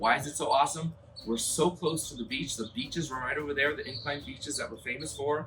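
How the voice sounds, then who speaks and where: Over noticeable background noise, a man talks in an animated tone at a fairly quick pace and a medium pitch. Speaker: real estate agent and video host. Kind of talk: property tour. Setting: outdoors. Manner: fast.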